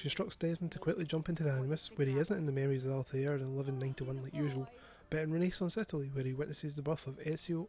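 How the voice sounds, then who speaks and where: A man with a Scottish accent speaks at a very fast pace in a fairly high pitch, his dark, mellow tone somewhat breathy, with ordinary pitch variation. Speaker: gaming youtuber. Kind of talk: scripted narration.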